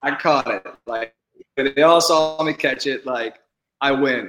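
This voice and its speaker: Bright and sharp in tone, a man with an American accent speaks at a fairly high pitch with fairly even intonation. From Houston, Texas. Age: 20s. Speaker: professional baseball player. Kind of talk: interview.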